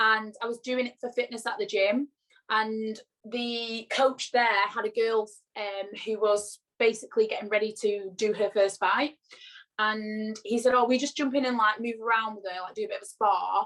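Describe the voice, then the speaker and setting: A woman speaks in a Lancashire accent. Her intonation is monotone and flat. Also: moderate pace. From northern England, Blackpool, Lancashire. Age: 20s. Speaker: pro boxer. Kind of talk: interview.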